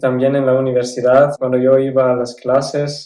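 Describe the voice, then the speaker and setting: With a German accent, a man speaks at a medium pitch in a dark, mellow tone with monotone, flat intonation. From South Tyrol, Italy. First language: German (speaking Spanish). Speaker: former exchange student. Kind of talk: interview. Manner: some hesitations.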